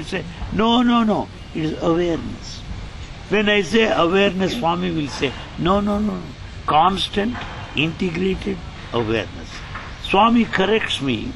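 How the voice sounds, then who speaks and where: A man speaks at a moderate pace in a high voice, with noticeable background noise and audible room echo. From India, Andhra Pradesh. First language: Telugu. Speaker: spiritual translator and former college lecturer. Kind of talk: interview.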